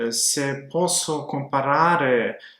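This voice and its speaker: A man talks with a fairly high pitch that shifts in an ordinary way. Audible room echo hangs around his words. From Montenegro, Podgorica. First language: Serbian/Montenegrin (speaking Italian). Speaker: language learner vlogger. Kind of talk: personal story monologue. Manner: halting, many filler sounds.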